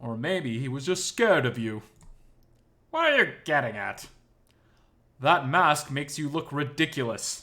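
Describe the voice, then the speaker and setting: A man's gruff, put-on character voice, fairly high in pitch, with ordinary pitch variation and a moderate pace. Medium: read story. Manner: annoyed, blunt.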